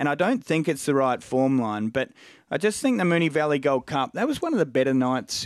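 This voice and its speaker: Recorded very cleanly against a silent background, a man with an Australian accent speaks at a moderate pace and a fairly high pitch. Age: 40s. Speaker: racing analyst. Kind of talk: casual chat.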